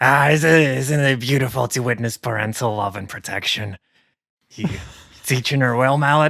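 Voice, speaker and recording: In a raspy, put-on character voice, a man speaks at a moderate pace and medium pitch on a very clean recording with a silent background. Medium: actual play. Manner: chatty, tactless.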